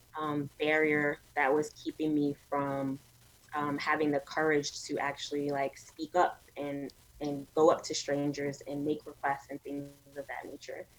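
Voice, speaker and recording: A woman in a New York accent with a very deep, low pitch, monotone, flat intonation, and a fairly slow pace, against noticeable background noise. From New York City, Brooklyn. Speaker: media entrepreneur. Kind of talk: interview conversation.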